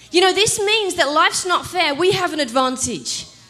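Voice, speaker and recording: Very wide pitch swings in a woman's voice, set against noticeable background noise. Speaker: pastor. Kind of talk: sermon. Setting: church.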